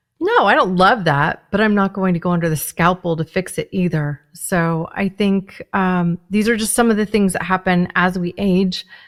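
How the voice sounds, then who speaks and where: A woman with a plain, everyday voice speaks at a medium pitch and a moderate pace, with ordinary pitch variation, hardly any pauses, and a very clean recording over a silent background. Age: 40s. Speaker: podcast host. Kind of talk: interview conversation.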